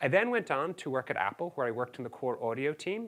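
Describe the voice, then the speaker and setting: The recording is very clean, with a silent background. A man speaks in a bright, sharp tone. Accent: Irish. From Ireland. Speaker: software engineer, conference speaker. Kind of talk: conference talk.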